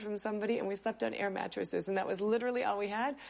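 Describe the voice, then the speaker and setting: Here a woman with an American accent uses an ordinary speaking voice. Her pitch is fairly high and her intonation fairly even. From US Northeast, near Boston. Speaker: new immigrant, former school nurse. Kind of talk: interview testimony.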